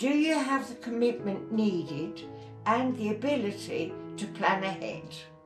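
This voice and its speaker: Music plays behind a woman of medium pitch who speaks at a fairly slow pace with very wide pitch swings. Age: 80s+. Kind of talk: book reading.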